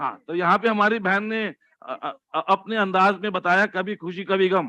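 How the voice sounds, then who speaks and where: A man's raised, projected voice, high-pitched with a bright, sharp tone, fairly even intonation and a moderate pace, in dry, close sound with no echo. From Delhi, India. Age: 60s. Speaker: motivational speaker. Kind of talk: motivational talk.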